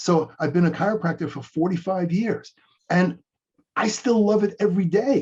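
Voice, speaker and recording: With a high pitch, a man talks at a moderate pace using ordinary pitch variation. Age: 60s. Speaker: chiropractor and coach. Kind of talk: interview. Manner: repeats words at starts of sentences.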